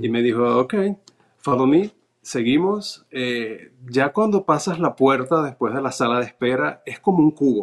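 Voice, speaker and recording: Over a quiet background, a man with a medium pitch speaks with lively intonation. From Venezuela. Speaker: naturalization applicant, cruise ship worker; interview guest. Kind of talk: interview, personal testimony. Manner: halting, frequent fillers and repetitions. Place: home room. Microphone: video call.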